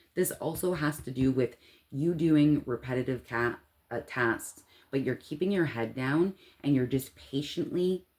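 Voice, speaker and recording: A woman speaks in an animated tone at a very deep, low pitch, with ordinary pitch variation. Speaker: tarot reader. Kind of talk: tarot reading to camera.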